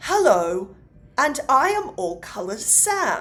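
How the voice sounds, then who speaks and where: Someone performs a put-on character voice with very wide pitch swings. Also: woman. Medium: solo performance. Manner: friendly, enigmatic.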